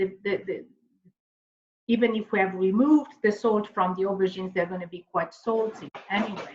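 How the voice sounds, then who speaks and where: Somewhat breathy at a medium pitch, a woman speaks with ordinary pitch variation and long, frequent pauses. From Italy, Emilia-Romagna. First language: Italian. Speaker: teacher. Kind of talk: cooking tutorial. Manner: halting, many fillers.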